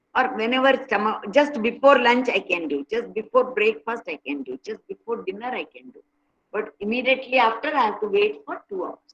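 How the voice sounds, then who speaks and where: Fairly quick speech with lively intonation, vocal fry, and big swings in loudness. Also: woman, fairly high pitch for a woman. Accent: Indian. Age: 70s. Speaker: meditation and yoga speaker. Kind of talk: talk to online workshop participants.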